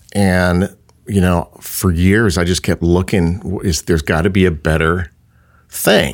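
The speaker has an American accent and a fairly slow pace. Intonation is fairly even, and loudness stays very even. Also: man, very deep, low pitch for a man. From California, South Bay. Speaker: wedding venue and winery owner. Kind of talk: casual interview chat. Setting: studio. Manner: halting, repetitive.

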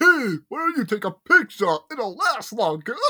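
A man's put-on character voice in a New York accent, extremely high in pitch with very wide swings, at a moderate pace. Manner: casual, breezy.

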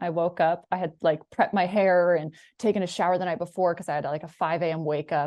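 This woman has a plain, everyday voice with an American accent. Her pitch is fairly low and her intonation fairly even. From Washington State, US. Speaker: sports broadcaster. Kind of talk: casual interview. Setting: video call from home.

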